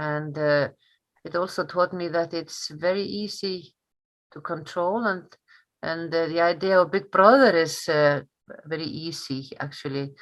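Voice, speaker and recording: A woman with an Icelandic accent speaks at a fairly slow pace, her fairly low voice showing ordinary pitch variation and big swings in loudness against a quiet background. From northern Iceland. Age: 60s. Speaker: history teacher. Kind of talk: interview. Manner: halting, many fillers.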